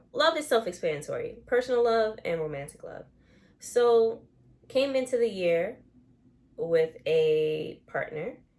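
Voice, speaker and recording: The speaker is a woman. Her voice swings very widely in pitch. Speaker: vlogger. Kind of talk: casual vlog monologue. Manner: casual, conversational with fillers.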